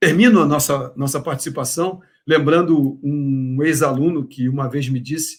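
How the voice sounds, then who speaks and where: A man's somewhat breathy, fairly high voice moves at a moderate pace. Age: 60s. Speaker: professor. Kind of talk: lecture. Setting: online congress talk. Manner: hesitant with filler words.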